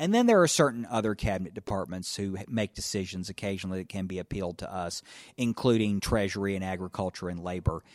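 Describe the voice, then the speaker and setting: Speaking very fast in a Tennessee accent, a man with a fairly low voice and ordinary pitch variation is heard in a dry, close sound with no echo on a very clean recording with a silent background. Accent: Southern US (Tennessee). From US South, northwest Tennessee. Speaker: federal judge. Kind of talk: interview.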